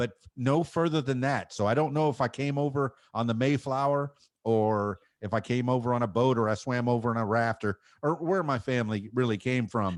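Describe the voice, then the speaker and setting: With an American accent, a man speaks at a fairly quick pace and a medium pitch. His pitch variation is ordinary, his loudness is very even, and the background is quiet. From Miami, Florida. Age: 50s. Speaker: DJ and podcaster. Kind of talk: casual chat.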